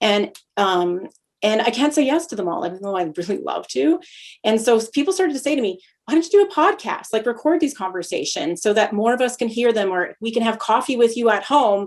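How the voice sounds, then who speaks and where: This woman talks at a fairly quick pace with a Canadian accent. Her pitch swings very widely. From Canada (Lethbridge, Alberta). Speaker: podcast host. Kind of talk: casual conversation. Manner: fast when excited; hesitant, many fillers.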